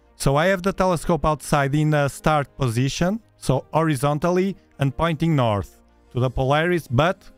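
Ordinary pitch variation from a man, dry with no echo, faint music in the background. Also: moderate pace. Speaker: astronomy livestream host. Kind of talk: casual livestream chat. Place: studio. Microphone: studio mic.

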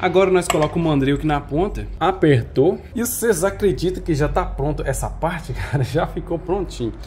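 Against light background noise, a man speaks at a fairly quick pace with hardly any pauses. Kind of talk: casual vlog chat. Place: workshop. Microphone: phone near.

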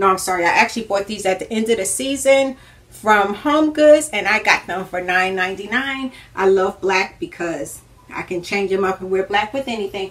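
A woman with lively intonation at a moderate pace. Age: 50s. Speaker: fashion YouTuber with an office job. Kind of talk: vlog, showing outfits to camera. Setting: home, spare bedroom turned closet. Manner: casual, chatty. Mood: upbeat, friendly. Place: home room. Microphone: phone near.

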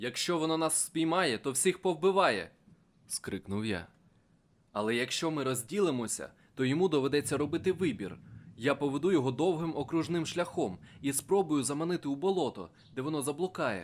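A man talks at a moderate pace and a fairly high pitch, with vocal fry and lively intonation. The recording is very clean, with a silent background. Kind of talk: dramatic audiobook narration, first-person. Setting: audiobook. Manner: tense, urgent, breathless action pacing.

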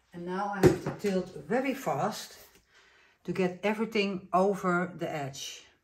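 A somewhat breathy woman's voice with a Dutch accent and ordinary pitch variation. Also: medium pitch for a woman, fairly slow pace, big swings in loudness. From Netherlands. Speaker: acrylic pour artist. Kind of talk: tutorial. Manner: casual, hesitant.

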